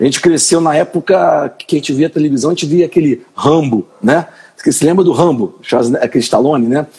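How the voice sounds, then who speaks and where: A man's somewhat breathy voice, fairly high in pitch, with a dark, mellow tone and ordinary pitch variation. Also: fairly quick pace. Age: 40s. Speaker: podcast host. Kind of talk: live-stream interview.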